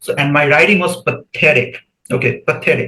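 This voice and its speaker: A man speaks with a Bengali accent. He talks at a fairly quick pace with ordinary pitch variation. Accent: Indian English, Bengali. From India, West Bengal. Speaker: PhD student. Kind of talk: podcast interview.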